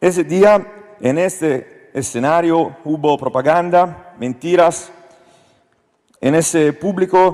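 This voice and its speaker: This man speaks very slowly in an Italian accent, with ordinary pitch variation. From Italy. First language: Italian (speaking Spanish). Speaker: politician. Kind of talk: panel discussion speech, partly read. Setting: stage with audience. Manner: halting.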